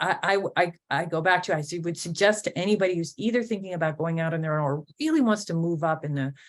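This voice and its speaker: Speaking very fast with hardly any pauses, a woman uses a fairly low pitch. Her pitch variation is ordinary. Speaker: business owner, events company president. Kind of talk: interview conversation. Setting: podcast interview. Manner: halting, stuttering a little.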